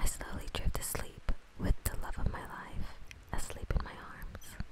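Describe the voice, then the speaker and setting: A woman whispers at a fairly slow pace, her loudness swinging widely, with noticeable background noise. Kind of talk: slow horror story reading. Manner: soft-spoken, whispery.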